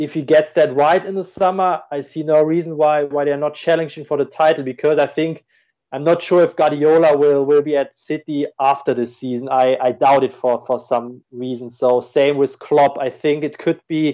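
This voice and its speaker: Speaking with a German accent, a man uses a fairly high pitch and fairly even intonation. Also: moderate pace. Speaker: football tactics analyst. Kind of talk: podcast interview. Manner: halting, many fillers and repeats.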